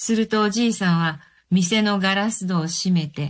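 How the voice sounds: The pitch moves with ordinary variation in a natural reading voice.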